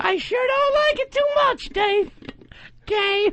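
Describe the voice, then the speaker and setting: Very slowly delivered, this put-on character voice sits at an extremely high pitch. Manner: bad English accent.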